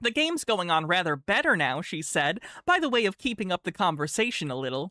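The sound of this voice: Reading aloud in an unforced voice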